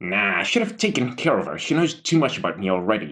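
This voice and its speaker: In a put-on character voice, a man rattles along at a very fast pace, his medium pitch swinging very widely. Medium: read story. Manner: crude, blunt.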